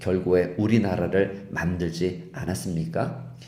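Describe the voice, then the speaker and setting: At a fairly slow pace, a man speaks with ordinary pitch variation and a dark, mellow tone. Audible room echo surrounds his voice. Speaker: pastor. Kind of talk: sermon.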